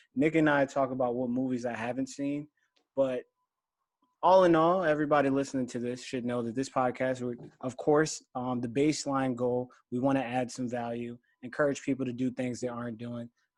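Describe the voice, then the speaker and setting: Over a quiet background, a man with an American accent talks fairly quickly in a normal speaking voice at a medium pitch, his intonation fairly even. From Philadelphia, US. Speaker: podcast host. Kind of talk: casual chat.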